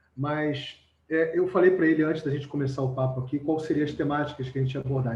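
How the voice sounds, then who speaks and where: Speaking in a Rio de Janeiro accent, a man talks at a very fast pace with a fairly high pitch. His intonation stays fairly even. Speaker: live stream co-host. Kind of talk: casual chat.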